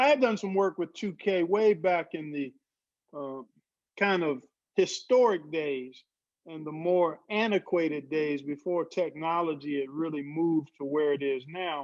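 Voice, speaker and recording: A normal speaking voice with ordinary pitch variation at a fairly slow pace. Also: man, fairly high pitch for a man. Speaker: NBA 2K commentator and former NBA player and broadcaster. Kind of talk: casual interview answer.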